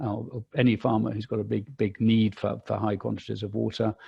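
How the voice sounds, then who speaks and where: The speaker is a man with a fairly low pitch. Vocal fry runs through his voice. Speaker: landowners' association policy representative. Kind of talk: webinar presentation. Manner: fast; hesitant, many fillers and repetitions.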